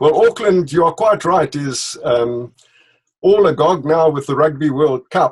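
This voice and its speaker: A man with a South African accent speaks fairly slowly at a fairly high pitch with ordinary pitch variation. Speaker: leadership consultant, company director. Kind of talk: interview. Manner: hesitant, with fillers.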